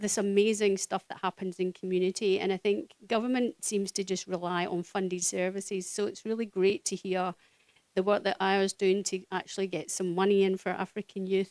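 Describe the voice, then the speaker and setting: In a Scottish accent, a woman talks at a fairly quick pace with medium pitch and monotone, flat intonation, the sound dry and close with no echo. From Scotland. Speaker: social worker. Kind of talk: speech at community event. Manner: hesitant, many fillers.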